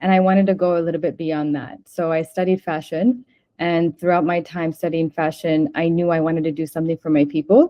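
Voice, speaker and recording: A woman with an American accent and a normal speaking voice speaks at a fairly low pitch with fairly even intonation. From United States. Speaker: fashion designer, brand co-founder. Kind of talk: interview.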